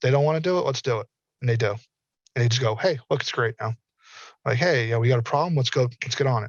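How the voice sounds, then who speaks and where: A somewhat breathy man of medium pitch with an American accent. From US South. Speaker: metaverse industry speaker. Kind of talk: panel discussion. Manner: animated.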